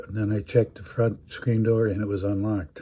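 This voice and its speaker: At a moderate pace, a man speaks in a fairly low pitch, somewhat breathy, with a dark, mellow tone and monotone, flat intonation. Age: 80s+. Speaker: storyteller. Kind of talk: personal storytelling. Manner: halting.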